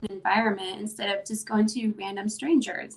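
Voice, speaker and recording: In an American accent, a woman with an unremarkable speaking voice talks at a moderate pace and a fairly high pitch with fairly even intonation. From Mexican heritage, US. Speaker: interviewer, mom group organizer. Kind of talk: casual interview.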